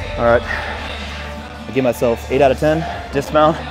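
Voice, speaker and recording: A man is speaking. Music plays in the background. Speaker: lifting coach. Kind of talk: casual vlog chat. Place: gym. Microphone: lapel.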